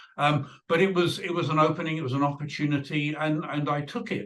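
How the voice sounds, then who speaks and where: A man with a British accent and a fairly high pitch. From UK. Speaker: video producer. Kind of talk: interview.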